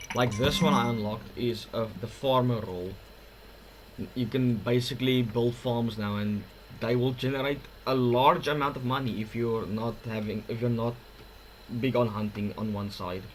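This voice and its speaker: With a non-native accent, a man at medium pitch speaks at a moderate pace with fairly even intonation amid audible room echo. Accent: awkward-sounding non-native English. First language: not English. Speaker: gaming youtuber. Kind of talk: gameplay commentary. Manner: halting, with fillers and restarts.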